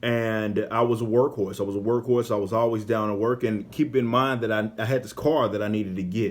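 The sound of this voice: With an American accent, a man speaks at a fairly quick pace in a fairly low voice, his intonation fairly even.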